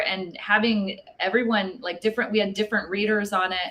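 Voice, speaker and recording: A woman with an ordinary speaking voice, medium pitch, and moderate pace. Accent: American. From Texas. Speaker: wine book author. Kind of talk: casual interview.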